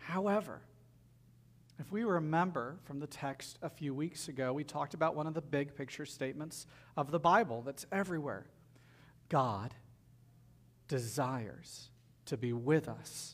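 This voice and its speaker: A man at a fairly high pitch with a Southern US accent, moderate pace and long, frequent pauses. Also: ordinary pitch variation. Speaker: pastor. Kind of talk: sermon; storytelling. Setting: church.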